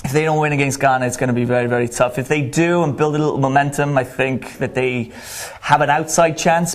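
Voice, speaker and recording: In a Welsh accent, a man speaks at medium pitch. His intonation stays fairly even. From Wales. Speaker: college soccer coach. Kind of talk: sports interview. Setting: studio.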